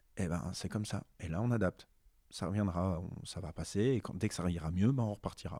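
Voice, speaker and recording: A man speaks fairly quickly in a very deep, low voice with a dark, mellow tone. His pitch varies in an ordinary way. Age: 30s. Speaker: adapted physical activity teacher. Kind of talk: interview.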